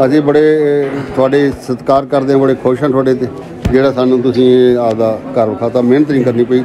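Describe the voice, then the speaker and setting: Music plays in the background as the voice holds a monotone, flat intonation at a very even loudness. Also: man. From Punjab, India (Sikh family whose parents came from a village now in Pakistan). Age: 70s. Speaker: elderly Sikh visitor returning to his parents' ancestral village. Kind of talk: casual talk to camera, reminiscing about family history. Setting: outdoors in a village. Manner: emotional, nostalgic. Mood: moved, grateful, nostalgic. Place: street.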